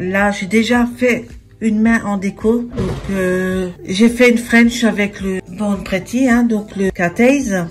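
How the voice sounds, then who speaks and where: Heard through noticeable background noise, a woman with a fairly high pitch talks at a very slow pace with fairly even intonation. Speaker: nail art youtuber. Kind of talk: tutorial.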